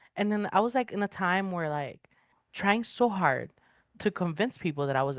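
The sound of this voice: A woman's fairly low voice with lively intonation, dry and close with no echo, on a very clean recording with a silent background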